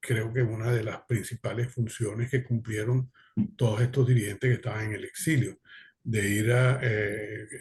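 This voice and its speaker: Against a quiet background, a man with a medium-pitched, somewhat breathy voice speaks at a moderate pace in monotone, flat intonation. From Venezuela. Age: 70s. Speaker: exiled political activist. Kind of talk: panel discussion testimony. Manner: halting, many fillers.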